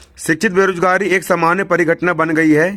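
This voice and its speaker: A man speaks at a moderate pace. His tone is bright and sharp, and his intonation stays fairly even. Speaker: teacher. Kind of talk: lecture.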